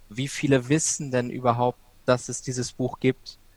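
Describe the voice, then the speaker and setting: A man speaks at a fairly slow pace in a monotone, flat intonation. The sound is dry and close, with no echo. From Ruhr area, Germany (Bochum). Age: 20s. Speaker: student and freelance author. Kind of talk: podcast interview.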